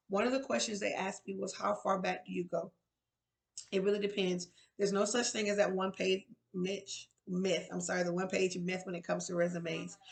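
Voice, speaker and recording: Vocal fry at a fairly quick pace. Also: woman, medium pitch for a woman, fairly even intonation. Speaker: resource and employability coach. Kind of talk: tutorial. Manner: fast.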